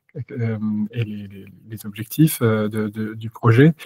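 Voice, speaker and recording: On a very clean, dry, close recording with a silent background and no echo, a man speaks in a dark, mellow tone with flat, monotone intonation. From Normandy, France. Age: 30s. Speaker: company founder. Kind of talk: interview. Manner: halting, many hesitations.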